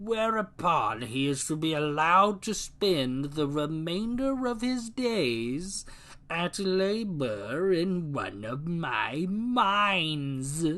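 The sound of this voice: Putting on a character voice, a man speaks at a very slow pace and high pitch with very wide pitch swings and hardly any pauses.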